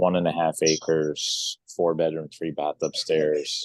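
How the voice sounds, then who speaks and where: A quiet man, recorded with a dry, close sound and no echo. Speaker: real estate agent. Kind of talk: business meeting announcement. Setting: remote call from another office. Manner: speaking quietly.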